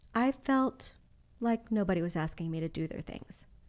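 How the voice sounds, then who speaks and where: With a slight Texas accent, a woman at a medium pitch talks at a moderate pace in a very clean recording with a silent background. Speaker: belly dancer and dance studio owner. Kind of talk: podcast interview conversation. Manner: casual, with many fillers.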